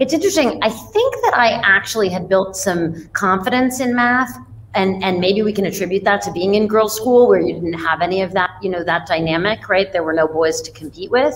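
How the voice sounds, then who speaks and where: In an American accent, a woman talks at a fairly quick pace with light background noise. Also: hardly any pauses. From New York City, Manhattan; New York City. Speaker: fintech CEO; guest. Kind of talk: interview conversation. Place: home room. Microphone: webcam.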